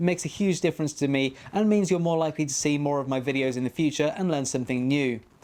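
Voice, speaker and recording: Very fast delivery in a British accent. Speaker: 3D printing YouTuber. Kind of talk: tutorial.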